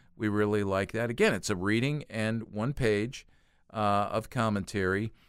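A normal speaking voice moves at a moderate pace with ordinary pitch variation. The recording is very clean with a silent background. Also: man. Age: 60s. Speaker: youth ministry organization president. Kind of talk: casual chat. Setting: studio.

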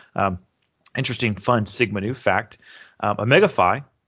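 With a plain, everyday voice, a man talks at a fairly quick pace in a fairly low pitch with ordinary pitch variation. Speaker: departing communications director. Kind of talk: casual chat.

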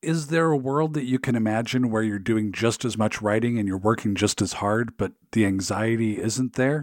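This man has an ordinary speaking voice and an American accent. His pitch is medium with ordinary variation, and he talks at a moderate pace. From US Pacific Northwest, Seattle area. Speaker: podcast host. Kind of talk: interview; scripted narration.

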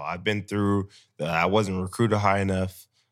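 In a very clean recording with a silent background, a man with an American accent talks at a very deep, low pitch. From Sacramento, California. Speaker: professional football player. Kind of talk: casual chat.

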